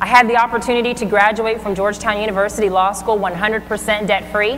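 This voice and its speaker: Over music in the background, a woman with a fairly high voice talks at a very fast pace in an energetic tone. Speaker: motivational speaker. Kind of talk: motivational keynote speech. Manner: energetic, engaging. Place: stage.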